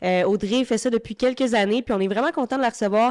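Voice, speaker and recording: The sound is dry and close with no echo as a woman speaks very fast in a fairly high pitch. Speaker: podcast host. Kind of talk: casual interview.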